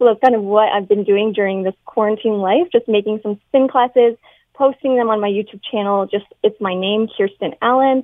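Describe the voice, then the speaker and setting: A normal speaking voice with a Canadian accent, delivered at a moderate pace. The intonation stays fairly even. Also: woman. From London, Ontario, Canada. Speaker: dietitian and fitness instructor. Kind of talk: radio interview.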